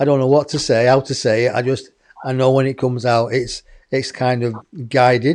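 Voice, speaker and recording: A man speaks with an English accent. His intonation is monotone and flat. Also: medium pitch for a man. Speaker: online show host. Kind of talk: casual chat.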